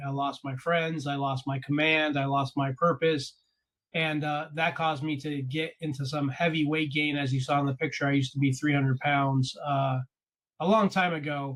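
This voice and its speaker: A man speaks at a fairly quick pace in a plain, everyday voice. His pitch sits fairly high, and his intonation stays fairly even. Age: 40s. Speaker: podcast host and coach. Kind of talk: interview conversation.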